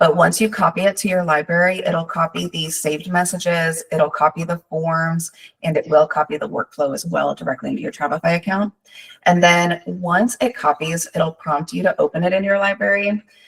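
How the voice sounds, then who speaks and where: A woman's fairly low, somewhat breathy voice at a fairly quick pace with ordinary pitch variation, dry and close with no echo. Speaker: travel advisor and software trainer. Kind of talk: live software training with Q&A. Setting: live online training session. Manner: fast.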